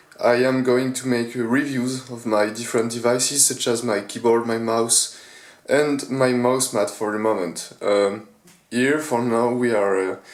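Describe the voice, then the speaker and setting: There is audible room echo around a man speaking at a medium pitch with fairly even intonation. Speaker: gaming gear reviewer. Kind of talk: product review. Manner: halting, many fillers.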